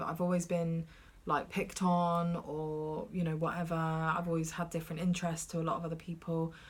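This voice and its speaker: Fairly quick and monotone, a woman with a British accent speaks at a fairly low pitch with flat intonation. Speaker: podcast co-host. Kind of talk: casual chat. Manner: loud.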